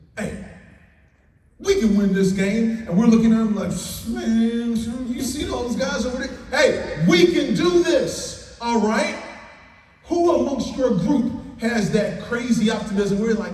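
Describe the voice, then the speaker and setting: Lively intonation and an energetic, upbeat tone in an American accent, at a fairly slow pace, over noticeable background noise. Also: man, extremely high pitch for a man. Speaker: keynote speaker, former pro football player and farmer. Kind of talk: motivational keynote speech to an audience. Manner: energetic, upbeat, inspirational.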